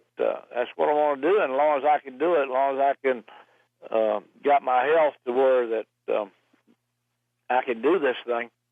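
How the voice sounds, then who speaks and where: At a fairly slow pace, a man in a Southern US accent talks at medium pitch with ordinary pitch variation. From US South, Roanoke Virginia. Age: 70s. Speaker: racing driver. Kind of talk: interview. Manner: halting.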